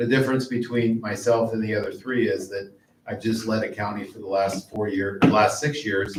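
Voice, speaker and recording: Moderate-paced speech from a man with a Midwestern US accent. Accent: US Midwest. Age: 50s. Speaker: political candidate. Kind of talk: closing statement at candidate forum. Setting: public library forum with audience.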